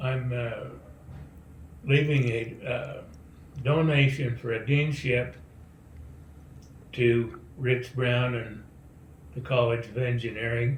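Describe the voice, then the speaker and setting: In a room with audible echo, a man speaks very slowly with long, frequent pauses, his medium-pitched, somewhat breathy voice keeping fairly even intonation. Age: 80s+. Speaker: donor. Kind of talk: recorded video message.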